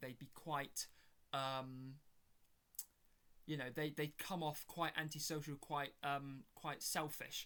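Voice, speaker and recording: A man with a British accent and a fairly high pitch speaks at a fairly slow pace in a bright, sharp tone with fairly even intonation. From Britain. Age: 20s. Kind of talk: casual chat. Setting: home bedroom. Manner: halting with many fillers.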